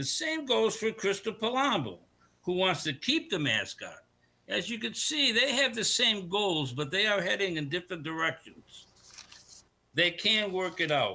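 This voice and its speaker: Raised and projected, a man's high, bright, sharp voice swings very widely in pitch at a moderate pace, with an American accent. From Connecticut. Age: 70s. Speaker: public commenter. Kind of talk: public comment at a meeting. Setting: board meeting. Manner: halting.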